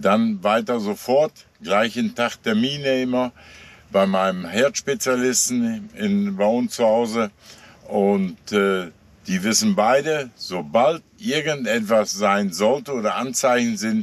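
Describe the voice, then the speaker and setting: A man's medium-pitched voice with lively intonation, a very slow pace and very even loudness. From Westphalia, Germany. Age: 70s. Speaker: truck driver. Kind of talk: interview.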